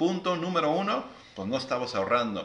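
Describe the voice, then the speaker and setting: Audible room echo surrounds a man as he speaks. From Mexico. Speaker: financial advisor and live show host; live show host. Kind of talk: live stream interview. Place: home room. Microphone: phone near.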